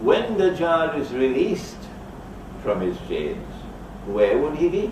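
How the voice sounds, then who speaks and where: Amid noticeable background noise and audible room echo, the speech moves at a very slow pace with very wide pitch swings. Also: man, high pitch for a man. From Trinidad. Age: 70s. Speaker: Islamic scholar. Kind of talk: lecture.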